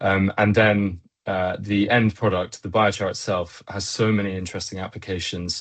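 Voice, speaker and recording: With a British accent, a man speaks at a moderate pace in a fairly low, flat monotone. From Britain. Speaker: engineer and company co-founder. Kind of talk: web chat presentation. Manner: many filler words.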